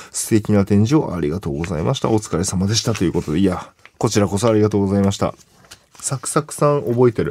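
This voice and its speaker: Talking at a very fast pace, a man uses lively intonation. His fairly low voice has a dark, mellow tone. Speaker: radio host and comedian. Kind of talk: casual chat.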